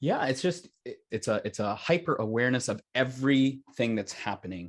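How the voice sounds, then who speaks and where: Lively intonation marks this man's speech, delivered at a moderate pace with an American accent. He has a normal speaking voice at medium pitch. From United States. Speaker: opera singer. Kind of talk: interview answer.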